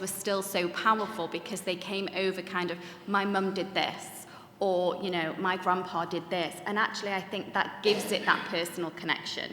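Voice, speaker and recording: A woman with a Mancunian accent speaks in a flat monotone over noticeable background noise, with audible room echo. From Manchester, northern England. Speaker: Holocaust educator, third generation speaker. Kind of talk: panel discussion talk. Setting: conference room with audience.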